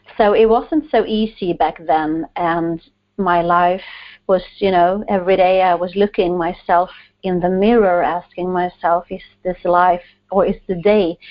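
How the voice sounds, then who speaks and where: Speaking with a Swedish accent, a woman has a medium pitch. Her pace is fairly slow and her intonation fairly even. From Sweden. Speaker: author, guest. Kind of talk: interview.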